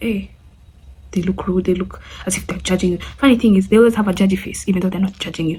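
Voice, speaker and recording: A woman talks at a very fast pace in a medium-pitched voice with fairly even intonation. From Kenya. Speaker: friend of the channel owner, guest. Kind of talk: casual Q&A vlog.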